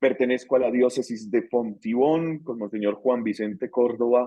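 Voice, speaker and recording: Fairly slow speech in a Bogotá accent. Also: man. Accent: Bogotá Colombian Spanish. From Colombia, Bogotá. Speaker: theology course instructor. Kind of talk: online class introduction. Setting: video call. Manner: hesitant, many fillers.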